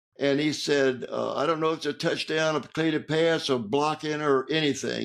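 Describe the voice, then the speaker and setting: This man has a Southern US accent and a fairly high pitch. He talks at a moderate pace. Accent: Southern American. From Georgia, USA. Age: 80s+. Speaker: author, Navy veteran. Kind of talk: interview answer, storytelling. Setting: home studio.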